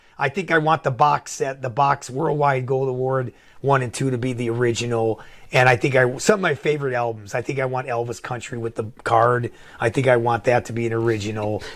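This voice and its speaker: A man speaks at a fairly quick pace in a normal speaking voice, medium in pitch, with ordinary pitch variation. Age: 60s. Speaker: record collector. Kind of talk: casual chat.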